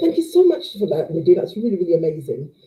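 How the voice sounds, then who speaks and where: With vocal fry, a woman speaks in very wide pitch swings. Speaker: live show host. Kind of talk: live show Q&A. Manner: stumbles over words.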